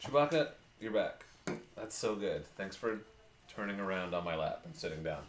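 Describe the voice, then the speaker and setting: A man at a moderate pace with long, frequent pauses, amid audible room echo and noticeable background noise. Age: 40s. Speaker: motorcycle channel host. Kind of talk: casual chat. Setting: live stream.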